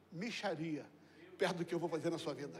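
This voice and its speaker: Audible room echo follows a man as he talks. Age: 60s. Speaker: pastor. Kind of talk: sermon. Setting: church. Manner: animated.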